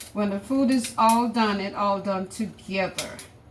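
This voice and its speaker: A woman with medium pitch and ordinary pitch variation is heard through noticeable background noise. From Jamaica. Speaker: cooking vlogger. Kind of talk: casual cooking tutorial. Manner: chatty, repetitive.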